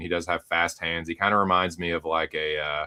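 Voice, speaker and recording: Talking at a fairly quick pace, a man with a Southern US accent has a bright, sharp tone. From US South. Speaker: MMA betting panelist. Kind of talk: casual chat. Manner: casual, filler-heavy.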